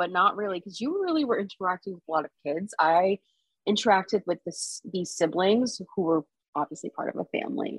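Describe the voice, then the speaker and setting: Speaking with an American accent in an unremarkable speaking voice, a woman uses lively intonation, a medium pitch, a moderate pace, and big swings in loudness. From South Florida. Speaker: podcast guest, friend of host. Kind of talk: casual chat.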